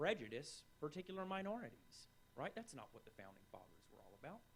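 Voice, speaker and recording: The speaker is a man. He has a strong Southern US accent. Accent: strong Southern drawl. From North Carolina, US South. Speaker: writer and scholar of the Middle East. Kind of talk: panel discussion.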